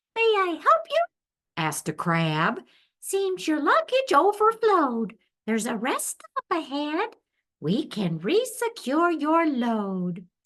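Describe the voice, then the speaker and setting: A woman puts on a squeaky character voice, high in pitch. She speaks at a fairly slow pace. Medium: read story.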